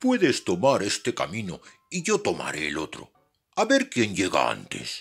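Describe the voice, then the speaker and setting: A put-on character voice from a man, moderately paced. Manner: sly, feigning friendliness.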